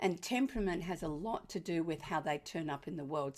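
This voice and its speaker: A woman with an Australian accent, fairly low pitch and a moderate pace, on a very clean recording with a silent background. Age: 70s. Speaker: parenting author and educator. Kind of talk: presentation to an audience. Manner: warm, lighthearted.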